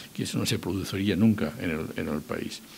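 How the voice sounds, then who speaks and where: A man's fairly low-pitched voice with lively intonation. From Spain. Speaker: political scholar and former government adviser. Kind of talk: public talk. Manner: halting, with self-corrections.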